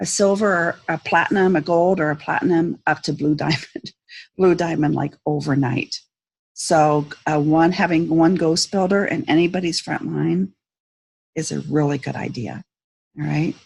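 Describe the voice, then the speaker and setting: Her voice is fairly low for a woman and shows vocal fry, with ordinary pitch variation at a moderate pace. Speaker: network marketing team leader. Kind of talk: tutorial. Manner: hesitant, many fillers.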